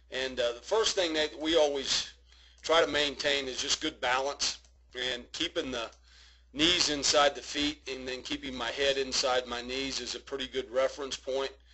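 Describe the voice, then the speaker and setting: A man's fairly high voice comes at a moderate pace, with noticeable noise in the background. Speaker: baseball hitting coach. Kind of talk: video swing analysis for a young player. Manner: casual, instructive.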